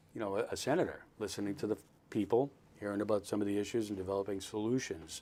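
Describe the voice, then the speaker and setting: With an American accent, a man speaks at a fairly quick pace, his pitch fairly low and his intonation fairly even. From Boston area, Massachusetts (Dorchester, Newton, Westwood). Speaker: political candidate and army veteran. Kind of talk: podcast interview. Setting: studio.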